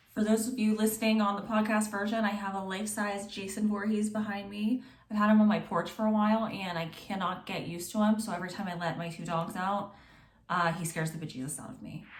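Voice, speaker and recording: A woman speaks very fast at a medium pitch, somewhat breathy, with fairly even intonation. Her loudness swings widely, and room echo is audible. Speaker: true crime podcaster. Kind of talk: true crime storytelling. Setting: home recording, on video and podcast. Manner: casual, chatty.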